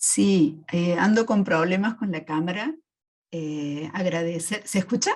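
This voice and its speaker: A woman with a fairly low voice speaks at a very slow pace. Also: ordinary pitch variation. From Argentina, Córdoba. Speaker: psychoanalyst and university lecturer. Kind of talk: audience question. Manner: halting.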